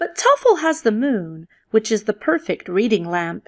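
A passage read aloud in a natural voice.

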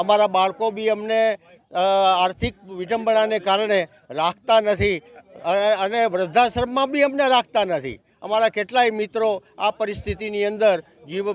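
The sound is dry and close with no echo as a man speaks at a high pitch. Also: ordinary pitch variation. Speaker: retired state transport employee. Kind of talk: protest interview statement.

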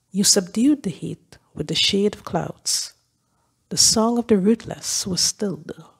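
At a fairly slow pace, a woman speaks in a medium pitch, somewhat breathy, with lively intonation. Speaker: lay scripture reader. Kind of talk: reading aloud. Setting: church.

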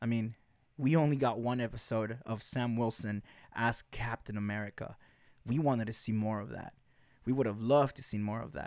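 A man talks at a fairly quick pace with fairly even intonation, the sound dry with no echo over a quiet background. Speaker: podcast host. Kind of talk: podcast commentary. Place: home room. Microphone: studio mic.

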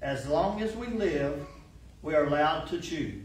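The room echo can be heard. Over it, a man talks at a fairly slow pace. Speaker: church lay reader. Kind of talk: devotional reading. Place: church. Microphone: podium.

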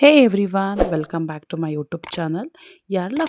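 The woman has an ordinary speaking voice, recorded with a dry, close sound with no echo. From India, Karnataka. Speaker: vlogger. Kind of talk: casual vlog narration.

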